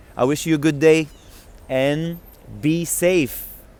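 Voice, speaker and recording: A man talks very slowly, his voice sitting fairly high. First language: French. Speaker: book reader. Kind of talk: reading aloud; casual chat. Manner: halting.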